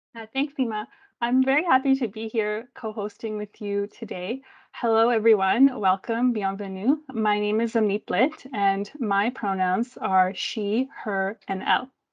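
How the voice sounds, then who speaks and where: A woman with a Canadian accent speaks in a normal speaking voice at a fairly slow pace. Her pitch is fairly high, with ordinary variation. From Delta/Surrey, British Columbia, Canada. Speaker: event co-host. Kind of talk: formal land acknowledgement.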